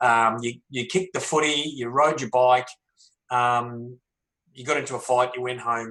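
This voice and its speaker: A man with an Australian accent speaks at a medium pitch and moderate pace. His tone is bright and sharp, his intonation fairly even, and his loudness swings a lot. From Melbourne, Australia. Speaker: author and former pro footballer. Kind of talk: panel discussion.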